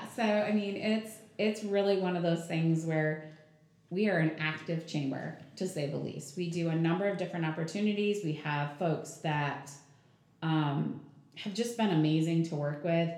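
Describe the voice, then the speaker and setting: Recorded with audible room echo and noticeable background noise, a woman with an American accent speaks at a moderate pace, fairly low in pitch with ordinary pitch variation. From southern Michigan, US. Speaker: chamber of commerce president. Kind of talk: casual interview.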